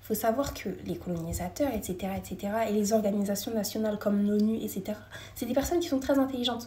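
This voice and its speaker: A woman rushes through her words at a very fast pace. Noticeable background noise runs under her fairly high voice. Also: ordinary pitch variation. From France. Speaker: live streamer. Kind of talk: casual live chat with viewers.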